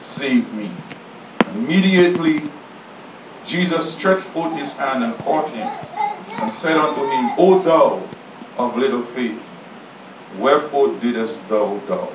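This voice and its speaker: Against noticeable background noise, a man talks at a fairly slow pace with long, frequent pauses. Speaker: pastor. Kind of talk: sermon scripture reading. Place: church.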